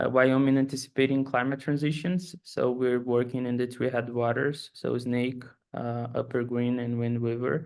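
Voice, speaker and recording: A man speaks with a Brazilian accent. His intonation is fairly even. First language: Portuguese. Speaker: postdoctoral researcher. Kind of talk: self-introduction.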